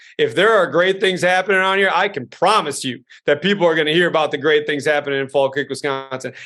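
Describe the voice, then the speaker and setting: A man talks loudly at a very fast pace with hardly any pauses, his fairly high pitch showing ordinary variation. His tone is animated, bright and sharp, over a quiet background. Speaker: school superintendent. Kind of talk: interview.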